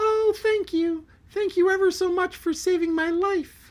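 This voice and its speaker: Squeaky and extremely high, this is a put-on character voice. The pace stays moderate. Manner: grateful, effusive.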